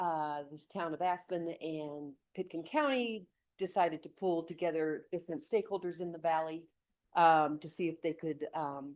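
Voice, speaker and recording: A woman talks at a fairly slow pace. Her pitch sits fairly low. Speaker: water authority director. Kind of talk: council presentation. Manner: halting, many fillers.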